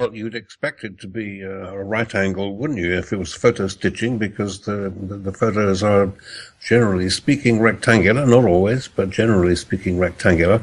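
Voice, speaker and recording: A man with an ordinary speaking voice, fairly low in pitch, at a fairly quick pace, with fairly even intonation and big swings in loudness. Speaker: astronomer guest expert. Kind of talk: interview.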